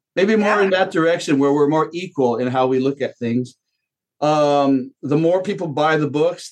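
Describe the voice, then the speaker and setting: Fairly high in pitch, a man talks at a fairly quick pace with ordinary pitch variation. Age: 50s. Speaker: media company co-founder and author. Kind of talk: casual interview. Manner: halting with many fillers.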